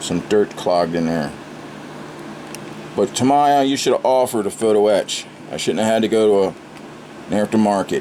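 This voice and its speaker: A man's fairly low voice at a moderate pace, with ordinary pitch variation, long, frequent pauses and noticeable background noise. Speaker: scale model builder, channel host. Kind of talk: casual video tutorial / build update. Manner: animated, ranting.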